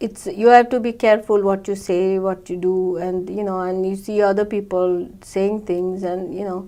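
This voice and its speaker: Delivered at a fairly slow pace, the speech has a dark, mellow tone and fairly even intonation. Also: woman. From India (Goa). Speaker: immigrant interviewee. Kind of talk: oral history interview. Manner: halting, many fillers.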